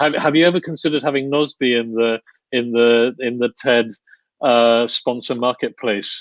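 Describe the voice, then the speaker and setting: Recorded with a dry, close sound and no echo, the speech moves at a moderate pace. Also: man. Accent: British. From United Kingdom. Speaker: podcast host. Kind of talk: interview. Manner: halting.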